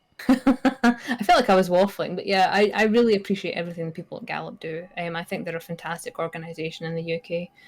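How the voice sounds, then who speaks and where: A woman with a medium pitch talks at a very fast pace with hardly any pauses. Her pitch varies in an ordinary way, and there is noticeable background noise. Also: big swings in loudness. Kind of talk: charity stream interview. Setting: live stream.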